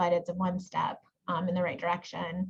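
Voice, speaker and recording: A somewhat breathy woman. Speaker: genetic counselor and professor. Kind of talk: webinar presentation. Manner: fast.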